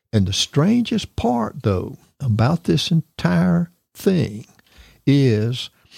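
Speaking at a very slow pace, a man uses very wide pitch swings in a dark, mellow tone that is somewhat breathy. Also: dry, close sound with no echo. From US South, Tampa, Florida. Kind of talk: interview testimony.

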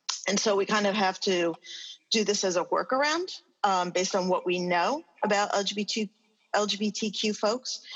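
A woman speaks with an American accent in an ordinary speaking voice, her pitch medium with ordinary variation. Her pace is moderate and her loudness very even. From New York. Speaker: social work professor. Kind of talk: panel discussion.

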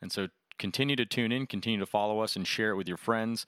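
A man's normal speaking voice, fairly low in pitch, with an American accent and fairly even intonation, in a very clean recording with a silent background. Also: dry, close sound with no echo. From near Boston, Massachusetts. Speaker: surgery resident and podcast host. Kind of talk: casual chat, podcast intro.

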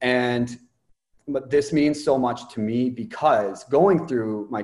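Someone with a Canadian accent speaks at a fairly slow pace with ordinary pitch variation. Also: man. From Ontario, Canada. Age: 20s. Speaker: mindset coach. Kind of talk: interview.

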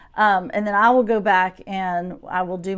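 A woman with a Southern US accent speaks at a medium pitch against a quiet background. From US South, Shreveport, Louisiana. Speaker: preschool teacher. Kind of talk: interview.

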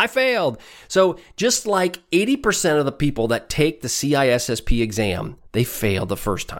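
Vocal fry runs through this moderately paced voice, which has an American accent and very wide pitch swings. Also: man, fairly high pitch for a man, very clean recording, silent background. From US Midwest, rural Iowa. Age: 50s. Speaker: cybersecurity podcast host. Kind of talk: monologue podcast, exam-prep talk; sales pitch. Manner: casual, upbeat.

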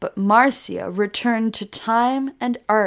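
The speaker is doing plain reading aloud.

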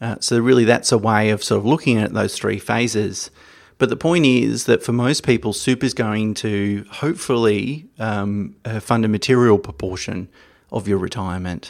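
A man speaks with an Australian accent. His pitch is fairly low and his pace moderate. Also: ordinary pitch variation. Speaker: financial podcast host. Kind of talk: solo educational talk. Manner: hesitant with fillers.

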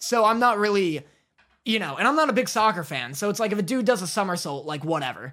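Raised and projected, a man's high-pitched voice races at a very fast pace with very wide pitch swings and a bright, sharp tone. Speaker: anime podcast co-host. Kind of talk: casual chat.

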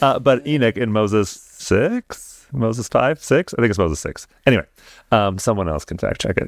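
Recorded very cleanly with a silent background and a dry, close sound without echo, a man with an ordinary speaking voice at medium pitch speaks at a moderate pace with lively intonation. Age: 30s. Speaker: podcast co-host. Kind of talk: casual chat.

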